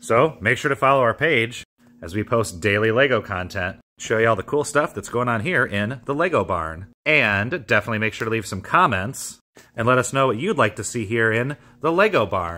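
Lively intonation and a bright, sharp tone carry this voice at a moderate pace. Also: man. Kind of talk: promotional vlog. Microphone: phone near.

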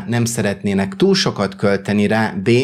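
The recording is very clean with a silent background. A man speaks at a medium pitch. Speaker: YouTuber and tech reviewer. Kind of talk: product review.

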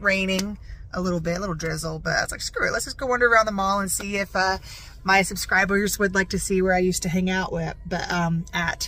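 A woman speaks at a very fast pace with fairly even intonation. The sound is dry with no echo, over light background noise. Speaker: vlogger. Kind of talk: casual vlog chat. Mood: playful, joking. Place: car. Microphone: phone near.

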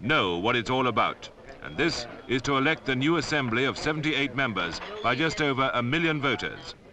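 Noticeable background noise sits behind a man with an English accent who talks at a fairly quick pace with ordinary pitch variation. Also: medium pitch for a man. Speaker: narrator. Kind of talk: public information film narration.

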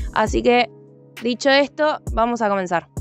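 A woman speaks at a moderate pace in a high voice with ordinary pitch variation. The sound is dry with no echo, and faint music plays in the background. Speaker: TV culture segment host. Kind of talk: tour guide presentation. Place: open country.

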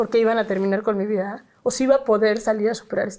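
A woman with a Mexican accent and a dark, mellow tone. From Mexico. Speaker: activist and psychologist; guest. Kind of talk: interview. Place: home room. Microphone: lapel.

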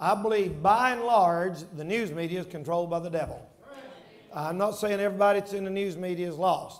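This man's voice sits high in pitch and carries fairly even intonation. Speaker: preacher. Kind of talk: sermon. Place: church. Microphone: headset.

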